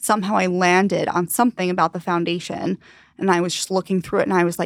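A woman with an American accent talks at a very fast pace in a medium pitch. The recording is very clean with a silent background, and the sound is dry and close with no echo. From Long Island, New York. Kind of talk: casual interview.

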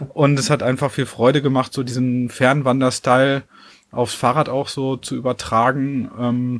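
Here a man speaks at a fairly slow pace. His intonation is monotone and flat. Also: medium pitch for a man. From western Germany, near Dortmund. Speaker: cyclist and long-distance hiker. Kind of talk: casual chat.

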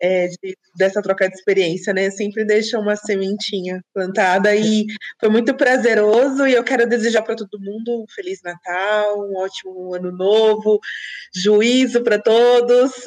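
With a plain, everyday voice, a woman speaks at a moderate pace in a fairly high pitch, her intonation fairly even. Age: 30s. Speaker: guest, friend of host. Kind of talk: casual chat.

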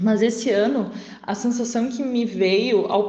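Through noticeable background noise and audible room echo, a woman speaks with a fairly high pitch. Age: 20s. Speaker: law lecturer. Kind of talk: recorded voice message.

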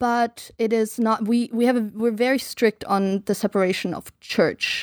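In a very clean recording with a silent background and a dry, close sound with no echo, a woman with a German accent speaks at a fairly slow pace with hardly any pauses, her fairly high pitch held in fairly even intonation. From Germany, eastern Baltic coast; raised partly in the US. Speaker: podcast guest. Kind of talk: casual chat.

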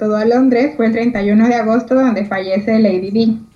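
A woman's fairly high, somewhat breathy voice at a fairly slow pace. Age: 20s. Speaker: radio co-host. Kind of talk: casual chat.

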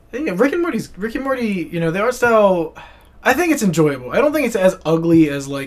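At a fairly quick pace and with an American accent, the speaker's pitch swings very widely. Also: man, high pitch for a man. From United States. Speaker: podcast co-host, animation student. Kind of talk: casual chat.

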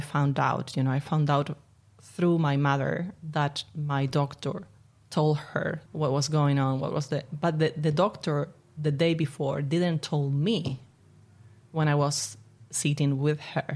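A woman with an Argentine accent speaks at a fairly slow pace in a very deep, low voice. Her loudness stays very even and her intonation fairly even. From Argentina, Buenos Aires. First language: Spanish. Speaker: spiritual coach and therapist. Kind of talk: interview. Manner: laughs often.

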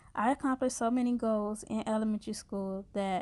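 In a normal speaking voice, a woman with an American accent talks at a fairly quick pace, her fairly high pitch held to fairly even intonation on a very clean recording with a silent background. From US Midwest, Chicago South Side. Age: 20s. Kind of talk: scripted narration.

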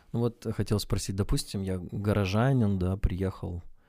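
Fairly low in pitch, a man's voice has a dark, mellow tone and fairly even intonation. He speaks at a fairly slow pace on a very clean recording with a silent background. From Russia, rural village. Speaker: podcast co-host. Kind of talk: casual chat. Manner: halting.

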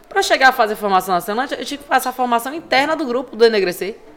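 Over noticeable background noise, a woman speaks at a very fast pace in an animated tone, her pitch swinging very widely. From Recife, Pernambuco, Brazil. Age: 30s. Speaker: cultural producer and activist. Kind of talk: podcast interview. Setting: recorded at a literary festival.

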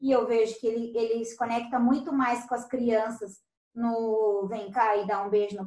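This is a woman speaking. Her pace is moderate. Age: 30s. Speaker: business owner. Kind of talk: casual chat.

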